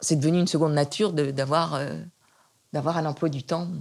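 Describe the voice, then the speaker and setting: Speaking at a moderate pace, a woman has a fairly low pitch and vocal fry. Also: very clean recording, silent background. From western France (Nantes). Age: 70s. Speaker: retired art historian. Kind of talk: interview. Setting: at home. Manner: halting with frequent repetitions.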